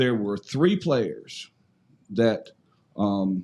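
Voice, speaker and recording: A man with an eastern North Carolina accent, very slow, with very wide pitch swings. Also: very clean recording, silent background. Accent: Southern US (eastern North Carolina). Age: 60s. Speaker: former high school football player. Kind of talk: casual chat. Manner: halting, many repeated words.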